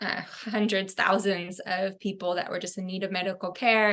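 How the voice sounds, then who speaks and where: A woman with a Californian accent speaks at a moderate pace in a bright, sharp tone with monotone, flat intonation, over a quiet background. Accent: General American (Californian). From US West Coast (Fresno, California). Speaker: fashion designer. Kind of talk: podcast interview.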